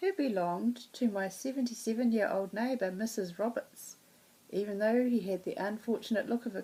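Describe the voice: A plain read-aloud passage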